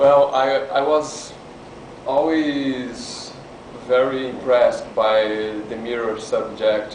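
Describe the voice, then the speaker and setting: Noticeable background noise and audible room echo surround a man with a Brazilian Portuguese accent. His voice sits at medium pitch with fairly even intonation. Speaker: artist. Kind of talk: lecture. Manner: halting.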